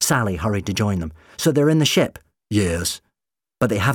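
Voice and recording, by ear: Reading aloud in a natural voice, lively intonation, quiet background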